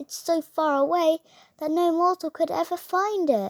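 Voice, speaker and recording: In a very clean recording with a silent background, a woman uses a put-on character voice at an extremely high pitch and a moderate pace. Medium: read story.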